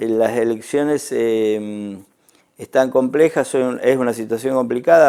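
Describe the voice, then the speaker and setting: Speaking fairly slowly with an Argentine accent, a man uses a medium pitch, a dark, mellow tone and fairly even intonation. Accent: Rioplatense Argentine Spanish. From Argentina. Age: 60s. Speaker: ambassador. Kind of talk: TV interview. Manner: halting, many fillers and repetitions.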